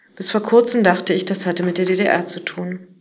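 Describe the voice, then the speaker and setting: A woman with a medium-pitched voice talks at a fairly quick pace over noticeable background noise, with audible echo in the room. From East Berlin, Germany. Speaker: journalist. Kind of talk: reading aloud.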